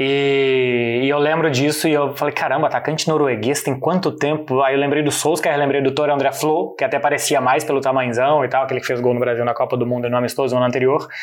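A man's fairly high voice in a Brazilian accent, very fast with hardly any pauses, monotone and flat, very even in loudness, over noticeable background noise. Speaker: football journalist. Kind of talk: casual explainer chat.

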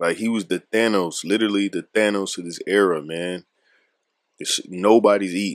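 Moderately paced speech from a man with a fairly low pitch and fairly even intonation. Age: 30s. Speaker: podcast host. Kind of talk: casual solo podcast monologue. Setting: military dorm room on deployment.

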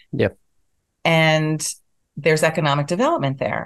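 A woman's very deep, low pitch at a moderate pace. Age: 60s. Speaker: town board candidate. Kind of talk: interview. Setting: video call.

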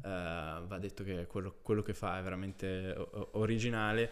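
This man's fairly low voice moves at a moderate pace. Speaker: podcast host. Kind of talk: interview.

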